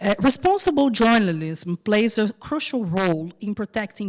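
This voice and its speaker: Talking at a moderate pace, a woman with a Brazilian accent is heard on a very clean recording with a silent background. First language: Portuguese. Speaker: journalist. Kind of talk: panel discussion; reading aloud. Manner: halting.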